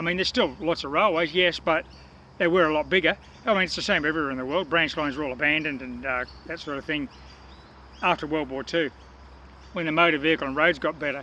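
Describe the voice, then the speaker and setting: A man speaks in a fairly high voice at a very fast pace. He leaves long, frequent pauses. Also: ordinary pitch variation. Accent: Australian. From Australia, Newcastle, New South Wales. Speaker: metal detecting vlogger. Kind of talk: casual chat to camera. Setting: outdoors.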